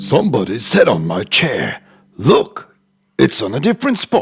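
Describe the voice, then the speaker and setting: With music in the background, a man uses a raspy, put-on character voice, fairly high in pitch, at a moderate pace. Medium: cartoon.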